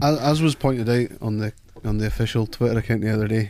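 At a fairly quick pace, a man speaks at a medium pitch with a dark, mellow tone. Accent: Scottish Highlands. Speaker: football fan pundit. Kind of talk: casual chat. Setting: studio.

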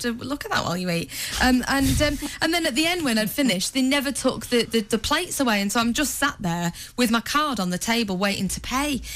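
A woman's fairly high voice at a very fast pace with lively intonation, over noticeable background noise. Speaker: radio breakfast show co-host. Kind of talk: casual radio banter. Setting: radio studio. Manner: giggly, chatty.

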